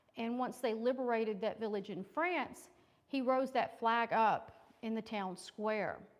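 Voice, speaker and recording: A woman speaks at a fairly slow pace. Her pitch is fairly high, with ordinary variation. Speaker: historian, invited speaker. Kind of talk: lecture. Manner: loud.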